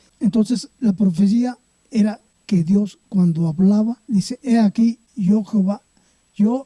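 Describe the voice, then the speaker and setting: Recorded dry and close with no echo, a man speaks in a high pitch with a dark, mellow tone and ordinary pitch variation. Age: 70s. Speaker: church member. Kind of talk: testimony. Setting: at home.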